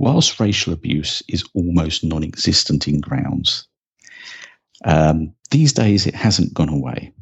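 At a very slow pace, a man speaks with a very deep, low pitch. His voice is somewhat breathy, and his intonation is lively. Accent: southern English. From England, rural Sussex. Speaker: football fan and history presenter. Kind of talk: scripted narration.

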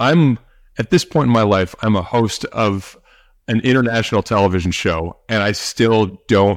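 A normal speaking voice with an American accent moves at a fairly slow pace, with ordinary pitch variation. The sound is dry and close with no echo, on a very clean recording with a silent background. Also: man. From St. Louis, Missouri, US Midwest. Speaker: podcast host and former special forces soldier. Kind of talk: casual chat.

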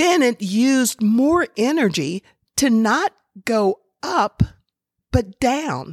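A woman's warm, gentle tone, dry and close with no echo, on a very clean recording with a silent background. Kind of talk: storytelling parable read aloud. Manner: slow, dramatic, emphatic pacing that stresses struggle; warm, gentle, inspirational.

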